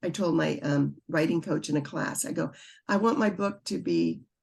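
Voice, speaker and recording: Against a quiet background, a woman talks at a fairly low pitch. Her voice has vocal fry. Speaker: author, birth mother. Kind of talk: interview answer.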